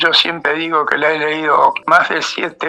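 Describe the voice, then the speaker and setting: Over noticeable background noise, a man's speech moves at a fairly slow pace. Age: 80s+. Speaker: lawyer. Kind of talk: radio interview. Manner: halting.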